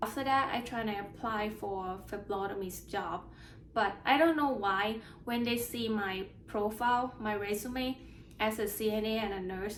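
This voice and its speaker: In a room with audible echo, a woman with a fairly high pitch speaks at a moderate pace and with fairly even intonation. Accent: Thai. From Thailand. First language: Thai. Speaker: nurse sharing exam experience. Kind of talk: casual personal vlog. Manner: halting with repeated words.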